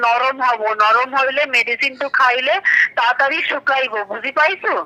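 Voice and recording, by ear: With a bright, sharp tone and a high pitch, a woman speaks at a moderate pace with fairly even intonation.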